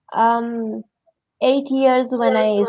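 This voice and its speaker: A woman talks with a Romanian accent. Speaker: interview guest. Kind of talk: interview. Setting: livestream.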